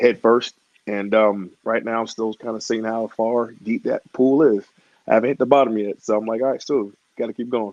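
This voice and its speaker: An American man speaks in a monotone, flat intonation. The sound is dry and close, with no echo. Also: medium pitch for a man, moderate pace. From Georgia, US South (Atlanta). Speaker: professional wrestler. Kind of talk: podcast interview.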